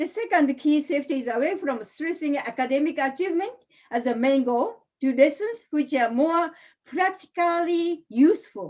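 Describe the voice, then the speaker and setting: Speaking in a Japanese accent, a woman with a high voice talks at a moderate pace with lively intonation. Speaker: English teacher, seminar speaker. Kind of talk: online seminar presentation. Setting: online webinar. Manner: halting.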